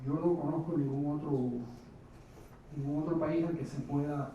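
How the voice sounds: With strong room echo around him, a man speaks at a medium pitch in a dark, mellow tone with little pitch movement.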